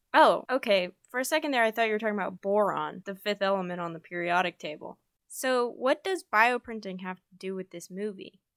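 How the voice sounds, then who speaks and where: In an American accent, the speaker uses lively intonation and big swings in loudness, captured on a very clean recording with a silent background and a dry, close sound with no echo. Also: woman, medium pitch for a woman, fairly quick pace. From Utah. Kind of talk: scripted student podcast conversation.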